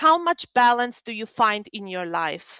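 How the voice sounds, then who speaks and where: With a Polish accent, a woman speaks at a fairly slow pace in a fairly high pitch and a bright, sharp tone. The sound is dry and close with no echo, over a quiet background. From Poland. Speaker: psychologist. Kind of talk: webinar talk.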